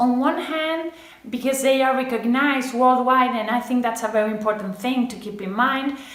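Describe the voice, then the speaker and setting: A woman with a Spanish accent speaks at a moderate pace and a high pitch, with ordinary pitch variation. Noticeable background noise and audible room echo fill the recording. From Spain. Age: 20s. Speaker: medical student. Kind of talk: personal testimonial to camera.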